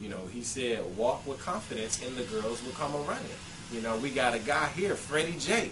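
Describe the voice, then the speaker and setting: Over noticeable background noise and audible room echo, a man speaks at a moderate pace with lively intonation. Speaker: dating advice vlogger. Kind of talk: casual monologue. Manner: animated.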